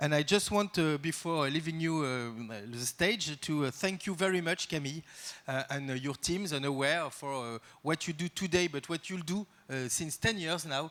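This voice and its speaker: This man has a French accent and a fairly high voice, speaking at a moderate pace with ordinary pitch variation in a very clean recording against a silent background. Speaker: art institution director. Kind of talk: welcome speech. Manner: halting, many fillers.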